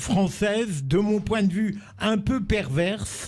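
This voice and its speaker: Over noticeable background noise, a man speaks at a very slow pace in a high pitch with ordinary variation. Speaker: radio panelist, commentator. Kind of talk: radio debate question.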